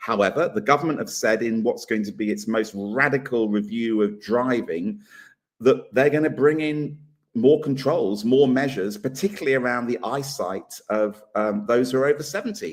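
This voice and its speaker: A man speaks in an ordinary speaking voice at medium pitch. His pace is moderate and his intonation lively. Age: 60s. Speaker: political talk show co-host. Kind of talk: casual debate chat.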